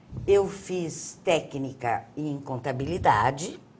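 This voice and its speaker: Her voice is very deep and low for a woman. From Paraná coast, Brazil (Antonina), then Curitiba. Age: 70s. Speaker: theatre figure. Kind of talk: interview.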